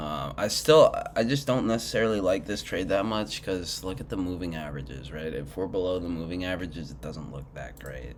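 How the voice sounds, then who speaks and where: The speech runs at a fairly quick pace with hardly any pauses, lively intonation and big swings in loudness, while music plays in the background. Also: man, very deep, low pitch for a man. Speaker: retail trader. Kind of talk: casual screen-share commentary.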